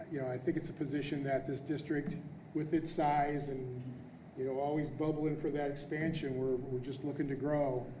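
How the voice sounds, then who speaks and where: A man with a fairly high pitch speaks in a flat monotone, with audible room echo and noticeable background noise. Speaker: school superintendent. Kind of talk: board meeting presentation. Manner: fast.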